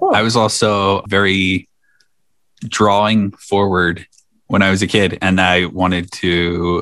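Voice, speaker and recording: Here a man speaks at a very slow pace with a fairly low pitch and a bright, sharp tone. His intonation is monotone and flat, and his loudness stays very even. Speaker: podcast host. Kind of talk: casual chat.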